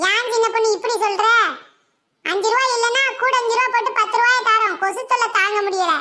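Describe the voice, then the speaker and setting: A woman's cartoonish character voice, extremely high in pitch, with fairly even intonation and very even loudness. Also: moderate pace. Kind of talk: village cartoon comedy. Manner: blunt, teasing.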